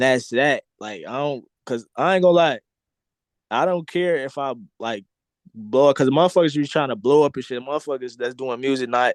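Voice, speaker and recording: Dry and close with no echo, a man's voice comes at a moderate pace in a medium pitch with ordinary pitch variation. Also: quiet background. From Chicago. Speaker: rapper. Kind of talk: casual interview chat.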